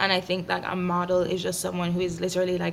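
Fairly low-pitched woman's voice, monotone and flat, at a fairly quick pace over noticeable background noise. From Jamaica. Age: 20s. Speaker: founder of a mental health platform. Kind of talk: casual interview.

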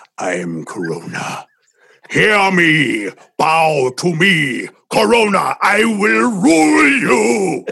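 A man's raspy, put-on character voice, fairly high in pitch, at a very slow pace. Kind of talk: pompous. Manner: menacing.

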